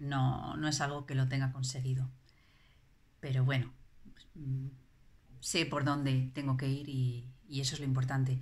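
A woman with a very deep, low pitch speaks somewhat breathily at a fairly slow pace, with monotone, flat intonation, long, frequent pauses and big swings in loudness. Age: 40s. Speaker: parent giving a testimonial. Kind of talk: testimony. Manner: halting, many fillers and repetitions. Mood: reflective, calm. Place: home room. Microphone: phone near.

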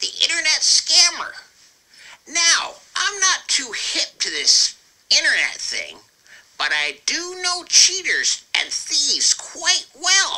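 In a put-on character voice at an extremely high pitch, the speaker goes at a fairly slow pace. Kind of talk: comic character monologue. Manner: pompous, self-satisfied, goofy.

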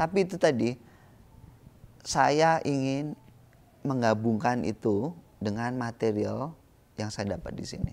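A man at a very slow pace, with lively intonation and long, frequent pauses. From Indonesia. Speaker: visual artist; interviewee. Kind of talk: interview. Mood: calm, reflective. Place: garden. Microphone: lapel.

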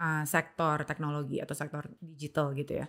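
Against a quiet background, a woman talks in a very deep, low pitch with monotone, flat intonation. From Indonesia. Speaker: podcast host. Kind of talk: casual interview chat; interview question. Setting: studio room. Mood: calm, curious. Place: studio. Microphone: studio mic.

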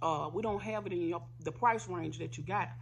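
A woman talks at a fairly quick pace, her fairly low voice carrying vocal fry and very wide pitch swings. Light background noise sits underneath. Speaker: food vlogger. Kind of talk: casual eating vlog storytelling. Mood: annoyed storytelling, animated. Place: home room. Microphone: phone near.

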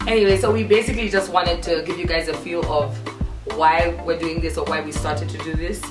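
A woman talks at a very fast pace while clear music plays in the background. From Zambia. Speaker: podcast host. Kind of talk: casual talk to camera.

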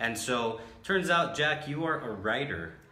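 A man speaks at a fairly slow pace and medium pitch, with lively intonation and a bright, sharp tone. Room echo is audible.

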